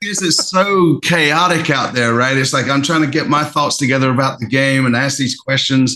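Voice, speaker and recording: Speaking at a moderate pace with hardly any pauses, a man with a fairly high pitch keeps very even loudness, ordinary pitch variation and a bright, sharp tone. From London, England, moved to rural US South at 13. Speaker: football fan channel host. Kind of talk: casual chat.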